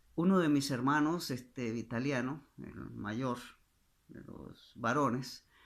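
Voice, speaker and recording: His volume jumps between loud and soft in big swings. The man delivers his words at a very slow pace. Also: medium pitch for a man, ordinary pitch variation. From Costa Rica, southern zone near Panama. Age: 60s. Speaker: pastor. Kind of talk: testimony. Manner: halting, many fillers.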